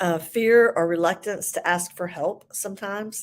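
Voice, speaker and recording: The woman speaks with a Southern US accent. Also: very clean recording, silent background. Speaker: ADHD coach. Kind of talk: livestream talk. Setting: live video stream. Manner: hesitant, many fillers.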